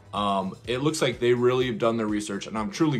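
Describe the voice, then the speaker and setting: A man speaks with lively intonation. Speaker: YouTuber reviewing a movie trailer. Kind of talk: casual commentary video. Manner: fast.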